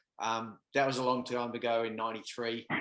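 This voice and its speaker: With an Australian accent, the speaker delivers the words at a moderate speed. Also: man. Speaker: podcast co-host. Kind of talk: casual chat. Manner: halting, many fillers.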